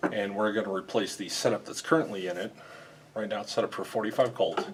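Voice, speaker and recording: A man at a very fast pace, fairly low in pitch, with fairly even intonation and noticeable background noise. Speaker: ammunition machinery builder and repair technician. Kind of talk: tutorial. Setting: customer's factory site. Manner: kept a little low.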